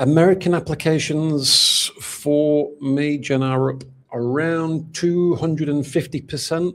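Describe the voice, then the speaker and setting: Barely pausing, a man with a Manchester accent speaks at a fairly high pitch with fairly even intonation. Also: fairly slow pace. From northern England, Manchester. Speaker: golden visa specialist. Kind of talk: interview. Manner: halting, many fillers and repeats.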